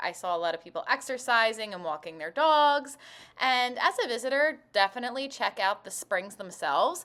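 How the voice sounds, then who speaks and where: A woman's bright, sharp tone with lively intonation. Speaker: travel vlogger. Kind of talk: travel vlog. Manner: animated.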